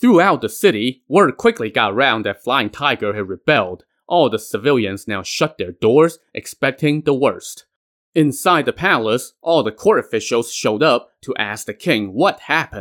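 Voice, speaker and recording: A man's dramatic, animated delivery at a moderate pace, with very wide pitch swings and hardly any pauses, in a dry, close sound with no echo on a very clean recording with a silent background. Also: medium pitch for a man. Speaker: podcast storyteller. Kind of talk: scripted storytelling narration. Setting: solo podcast recording. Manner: dramatic, animated retelling with shouted character lines and wry asides.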